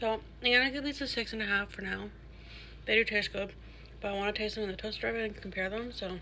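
Over light background noise, a woman rattles along at a very fast pace with vocal fry and fairly even intonation. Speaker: food reviewer. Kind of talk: casual vlog chat. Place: kitchen. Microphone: phone near.

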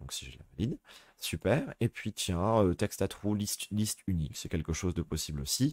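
This man's voice shows ordinary pitch variation in a dry, close sound with no echo. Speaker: teacher. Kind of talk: tutorial. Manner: hesitant, many fillers.

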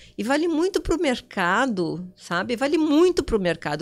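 In an animated tone, a woman speaks with very wide pitch swings. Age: 60s. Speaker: digital influencer. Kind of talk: interview.

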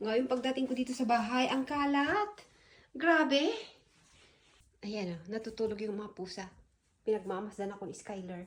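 Animated and somewhat breathy, a woman speaks at a fairly high pitch and a moderate pace with lively intonation, big swings in loudness, and long, frequent pauses. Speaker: vlogger. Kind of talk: casual vlog. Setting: outdoors.

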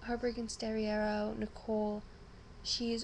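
Over light background noise, a woman is speaking. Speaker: vlogger. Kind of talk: casual vlog chat. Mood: subdued but grateful. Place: home room. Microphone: webcam.

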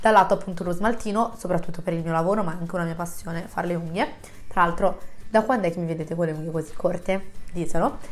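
A woman's fairly low voice at a very fast pace, fairly even in intonation, over noticeable background noise. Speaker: YouTuber. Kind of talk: casual vlog chat to camera. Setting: home, close to microphone. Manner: chatty, friendly.

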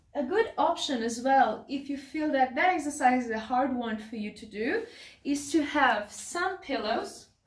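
Heard with audible room echo, a woman with a non-native accent and high pitch speaks at a fairly slow pace, with lively intonation and big swings in loudness. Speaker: pelvic health physiotherapist, clinic director. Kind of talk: exercise instruction to camera. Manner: excited, enthusiastic. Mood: calm, encouraging. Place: home room. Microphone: camera far.

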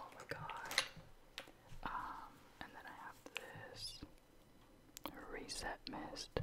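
A man is whispering. The voice stays at a whisper throughout. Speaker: ASMR creator. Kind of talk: casual talk to camera, get ready with me chit chat. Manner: soft-spoken, whispery. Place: home room. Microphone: studio mic.

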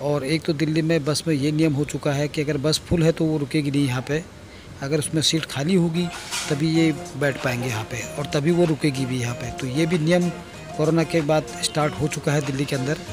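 Over clear background music, a man speaks at a moderate pace with fairly even intonation, the sound dry with no echo. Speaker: motovlogger. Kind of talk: casual vlog chat. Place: motorbike.

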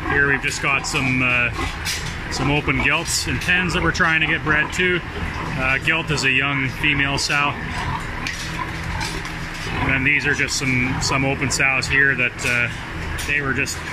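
Speech comes at a fairly slow pace with long, frequent pauses against loud background noise. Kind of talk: tour guide explanation. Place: farm machine. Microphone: phone near.

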